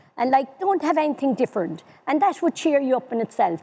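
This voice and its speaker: Dark and mellow in tone, the voice moves at a very fast pace with lively intonation. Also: woman. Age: 70s. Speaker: older people's council chair. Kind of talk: panel discussion.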